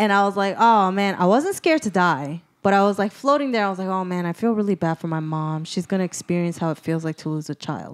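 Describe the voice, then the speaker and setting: On a very clean recording with a silent background, a woman speaks at a very fast pace with hardly any pauses, a medium pitch and lively intonation. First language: not English. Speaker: comedian, podcast co-host. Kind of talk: casual chat, storytelling.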